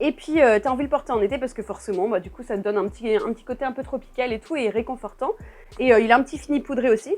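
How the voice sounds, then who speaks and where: A high-pitched woman talks at a very fast pace. Her intonation is lively. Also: big swings in loudness. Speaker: perfume YouTuber. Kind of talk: casual vlog review. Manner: animated, restless.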